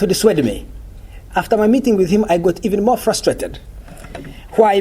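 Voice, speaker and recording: This is a man's voice with a high pitch. He speaks with a non-native accent. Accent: foreign. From Uganda. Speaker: journalist and lecturer. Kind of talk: lecture. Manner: fast.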